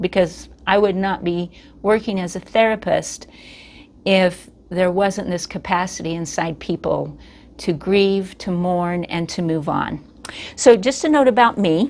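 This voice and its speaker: An unremarkable speaking voice from a woman at a medium pitch. She talks at a fairly slow pace with ordinary pitch variation. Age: 60s. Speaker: therapist. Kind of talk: educational talk. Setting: office.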